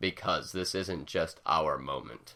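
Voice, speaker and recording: This man uses a put-on character voice at a fairly slow pace. The recording is very clean, with a silent background. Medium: read story. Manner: formal, slow, melancholy.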